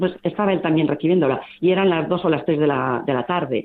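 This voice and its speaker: A woman in an ordinary speaking voice, fairly low in pitch, with ordinary pitch variation and a moderate pace. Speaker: volunteer group coordinator. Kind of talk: interview.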